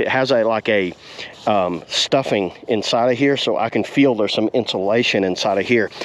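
At a moderate pace, the speech shows ordinary pitch variation. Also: man.

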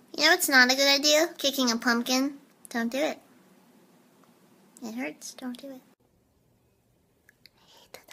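A squeaky-voiced woman speaks at a moderate pace, her loudness swinging widely between long, frequent pauses. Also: fairly even intonation. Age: 20s. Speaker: short comedy video creator. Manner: playful, quirky.

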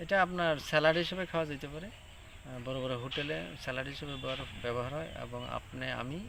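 Audible room echo surrounds a man who speaks at a medium pitch with lively intonation. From Tripura, India. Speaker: vegetable farmer. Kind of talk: field interview.

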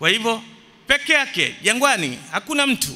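A man speaks in a raised, projected voice. His pace is fairly slow. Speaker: religious teacher. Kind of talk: sermon. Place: church. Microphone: podium.

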